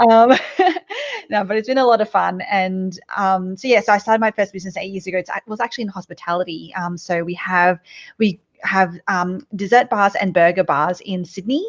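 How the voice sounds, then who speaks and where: A woman with an Australian accent talks fairly quickly at a medium pitch with ordinary variation, the sound dry and close with no echo over a quiet background. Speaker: business coach and entrepreneur. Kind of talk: podcast interview.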